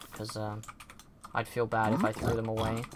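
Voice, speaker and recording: A moderate pace in a British accent, with noticeable background noise. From Britain. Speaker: streamer. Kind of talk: casual gameplay commentary. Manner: casual, rambling with fillers.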